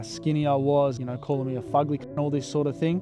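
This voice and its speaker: Over music in the background, a man with an Australian accent talks very fast at a fairly high pitch with monotone, flat intonation. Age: young. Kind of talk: storytime narration to camera. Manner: casual, profane.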